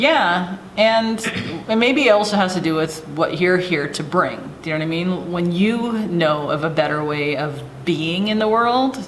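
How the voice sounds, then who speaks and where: With a Pacific Northwest accent, a woman speaks at a fairly slow pace in a fairly low pitch, with audible room echo and noticeable background noise. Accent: US West Coast (Pacific Northwest). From Oregon, small town (Corbett). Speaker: middle school science teacher. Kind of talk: casual chat. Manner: halting.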